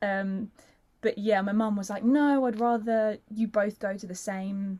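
A woman speaks with a South London accent. Her pitch varies in an ordinary way. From South London, England. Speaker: actor and singer. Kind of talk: casual chat.

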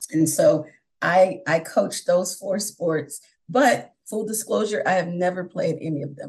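A somewhat breathy woman with an American accent talks at medium pitch and a fairly slow pace, with ordinary pitch variation and big swings in loudness. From New York (Brooklyn, upstate). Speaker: online teacher. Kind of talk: interview.

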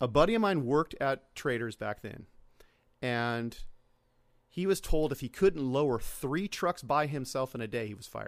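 A normal speaking voice with lively intonation at a moderate pace, in a very clean recording with a silent background. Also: man, fairly high pitch for a man. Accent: American. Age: 40s. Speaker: automotive media producer. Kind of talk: casual chat. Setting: studio.

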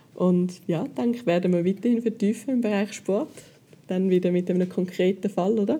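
A woman speaks at a medium pitch in a dark, mellow tone that is somewhat breathy. Her loudness stays very even, with ordinary pitch variation. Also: moderate pace. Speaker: podcast host. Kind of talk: casual interview.

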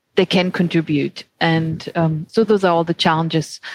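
A woman talks with a German accent at a moderate pace in a flat monotone. The sound is dry and close, with no echo. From Germany. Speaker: anthropologist, former professor. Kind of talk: casual chat.

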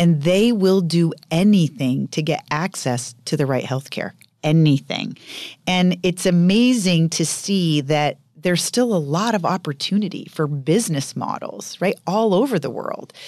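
A woman with an American accent speaks in an ordinary speaking voice, fairly low in pitch, at a fairly slow pace. Her intonation is lively, and the background is quiet. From Maine, US (rural northern). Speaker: biotech company CEO. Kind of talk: interview.

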